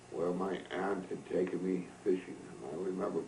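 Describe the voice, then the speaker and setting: An American accent at a fairly slow pace over noticeable background noise. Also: man. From upstate New York, Greene County. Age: 80s+. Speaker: elder recounting his life. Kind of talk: oral history recollection. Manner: halting.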